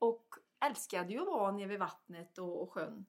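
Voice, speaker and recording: A woman talking at a fairly quick pace. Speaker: health coach. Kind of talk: casual conversation.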